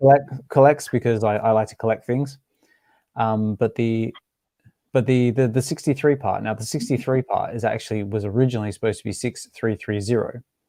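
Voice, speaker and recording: In an Australian accent, the speaker uses a dark, mellow tone at a fairly quick pace with fairly even intonation, on a very clean recording with a silent background. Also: man, medium pitch for a man. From Western Australia, Albany. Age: 30s. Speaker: NFT collector and podcaster. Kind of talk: casual chat. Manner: halting, many repeated words.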